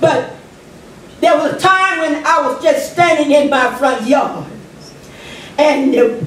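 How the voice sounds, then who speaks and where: The intonation is lively, with audible room echo. Noticeable background noise runs underneath. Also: woman. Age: 60s. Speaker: public commenter at city council. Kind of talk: public comment speech.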